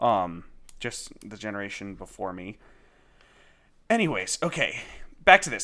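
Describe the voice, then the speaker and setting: On a very clean recording with a silent background, a man's bright, sharp voice with vocal fry swings very widely in pitch. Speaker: solo podcaster. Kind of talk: casual monologue. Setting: at home.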